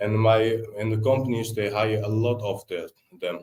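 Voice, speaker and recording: A man with a Dutch accent speaks at a moderate pace in a medium pitch. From Netherlands. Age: 20s. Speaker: tiler, business owner. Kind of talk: podcast interview. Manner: halting.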